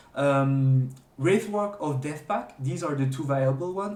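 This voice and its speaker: In a room with audible echo, a man with a non-native accent speaks at a fairly slow pace and fairly high pitch, his voice somewhat breathy and his intonation lively. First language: not English. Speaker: gaming streamer. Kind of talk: tutorial. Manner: halting, many fillers and restarts; unscripted.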